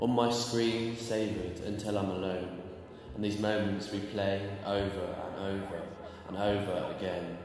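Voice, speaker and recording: A man speaks over noticeable background noise. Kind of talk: poetry reading.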